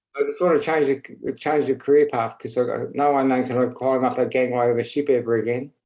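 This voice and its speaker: A man with an Australian accent, medium pitch, dark and mellow tone, monotone flat intonation, fairly quick pace, hardly any pauses. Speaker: stroke survivor, committee newcomer. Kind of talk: online meeting chat. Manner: slurred speech; halting.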